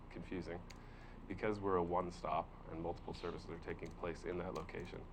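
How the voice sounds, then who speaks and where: A man's very deep, low mumbling at a very fast pace, with fairly even intonation and audible room echo. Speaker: workforce development presenter. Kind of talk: public meeting presentation. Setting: county board workshop. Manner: hesitant with many fillers.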